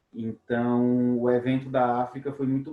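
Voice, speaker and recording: A man is speaking. His pitch is medium. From Brazil, Minas Gerais near Bahia border. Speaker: webinar host, robotics teacher. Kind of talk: webinar conversation.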